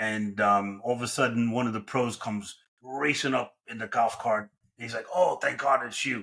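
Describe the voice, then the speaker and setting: With a New York accent and a bright, sharp tone, a man speaks at a medium pitch and a moderate pace with fairly even intonation. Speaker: franchise consultant. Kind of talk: podcast interview.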